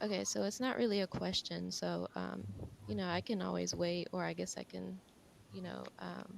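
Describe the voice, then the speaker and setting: A woman speaks quietly at a moderate pace. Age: young. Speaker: videographer and photographer. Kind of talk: audience comment.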